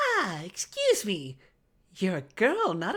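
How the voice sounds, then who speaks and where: This is a put-on character voice that sounds female. It moves at a fairly slow pace. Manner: quiet.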